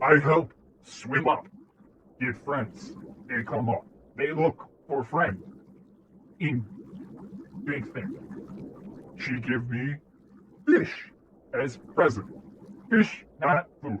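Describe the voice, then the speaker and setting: Using a put-on character voice, a man with a fairly high pitch speaks at a very slow pace with long, frequent pauses. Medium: actual play. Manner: broken simple phrases.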